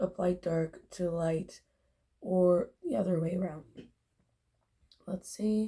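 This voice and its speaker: Very slow and somewhat breathy, the voice carries a dark, mellow tone and fairly even intonation. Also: woman. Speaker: beauty vlogger. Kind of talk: makeup tutorial. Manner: casual, hesitant.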